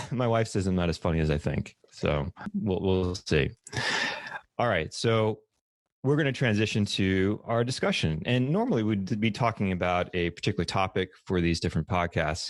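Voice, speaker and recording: With an American accent, a man speaks at a moderate pace in a fairly low voice, keeping very even loudness and ordinary pitch variation over a quiet background. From US South, New Orleans. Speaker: podcast host, UX designer. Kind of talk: casual podcast chat. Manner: many fillers (uh) and repeated words.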